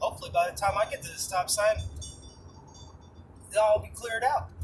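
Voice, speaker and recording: A man speaks at a fairly quick pace with an American accent. His loudness swings widely. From New York. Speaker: vlogger. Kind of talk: casual monologue while driving.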